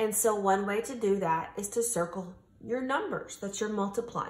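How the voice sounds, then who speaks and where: Audible room echo surrounds a woman whose somewhat breathy voice moves at a fairly slow pace. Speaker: teacher. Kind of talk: tutorial. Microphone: phone near.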